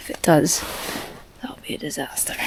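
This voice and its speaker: Whispering at a moderate pace, a woman speaks over noticeable background noise. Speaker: solo hiking and wild camping vlogger. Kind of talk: casual vlog to camera. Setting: outdoors in a tent.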